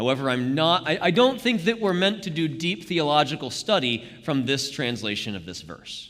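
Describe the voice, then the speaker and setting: A voice with vocal fry that swings very widely in pitch. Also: man. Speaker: Bible study leader. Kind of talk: interactive Bible study. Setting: church live stream. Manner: fast; halting.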